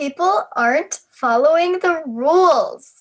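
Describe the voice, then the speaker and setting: The speaker uses a put-on character voice at an extremely high pitch, delivered at a fairly slow pace. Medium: read story. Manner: clipped, formal.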